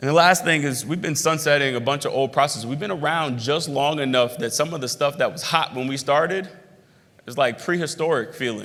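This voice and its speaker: A man's fairly high, bright, sharp voice at a fairly quick pace with ordinary pitch variation. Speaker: club co-founder and executive. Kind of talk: keynote address to members. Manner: fast.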